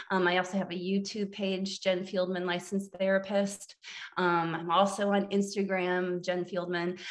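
Noticeable background noise sits behind a woman with an American accent who speaks at a medium pitch and moderate pace in a monotone, flat intonation. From US Midwest, central Illinois. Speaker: therapist. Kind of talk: casual interview.

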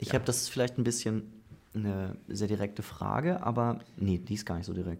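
A man speaks at a fairly quick pace with a fairly low pitch. His pitch varies in an ordinary way, and he has an unremarkable speaking voice. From northern Germany. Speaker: podcast host. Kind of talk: casual interview. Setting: studio, face to face.

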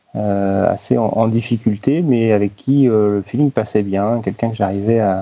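At a moderate pace, a man speaks with a medium pitch. His pitch variation is ordinary. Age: 30s. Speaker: HR company director. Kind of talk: interview. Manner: halting, frequent repetitions.

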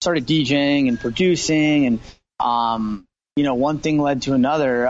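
A man with an American accent speaks at a moderate pace, his fairly high voice keeping a fairly even intonation. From US, Los Angeles. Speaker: singer-songwriter and producer. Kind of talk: interview. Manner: halting, many fillers and repeats.

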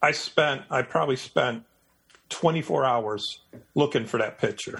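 A man with an American accent talks at a very slow pace, with long, frequent pauses. Vocal fry runs through his voice. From Michigan, US Midwest (Detroit). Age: 60s. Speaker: nature and wildlife photographer. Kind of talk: casual interview chat.

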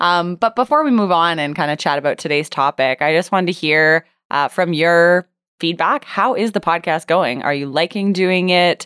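A woman speaks in a normal speaking voice with ordinary pitch variation on a very clean recording with a silent background. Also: fairly low pitch for a woman, moderate pace, dry, close sound with no echo. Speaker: podcast host and business coach. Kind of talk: casual interview chat.

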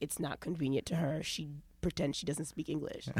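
With a New York accent, a woman speaks at a very deep, low pitch. Her intonation is fairly even. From New York, Long Island and Brooklyn. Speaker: comedian and radio host. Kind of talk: casual chat.

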